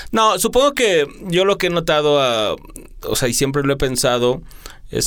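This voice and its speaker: A plain, everyday voice with lively intonation, speaking at a fairly slow pace. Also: man. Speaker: radio host. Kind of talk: interview. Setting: studio.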